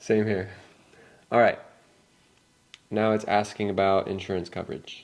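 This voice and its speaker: With an American accent, a man speaks at a moderate pace with a fairly low pitch. His intonation is monotone and flat, with long, frequent pauses. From California. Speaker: English teacher. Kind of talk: scripted dialogue for learners. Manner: casual.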